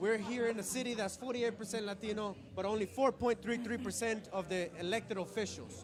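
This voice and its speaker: Speaking with a Spanish accent, a man with a high pitch and an animated tone talks at a fairly quick pace with hardly any pauses, over noticeable background noise. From Colombia. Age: young. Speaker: political candidate. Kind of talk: interview. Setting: networking event.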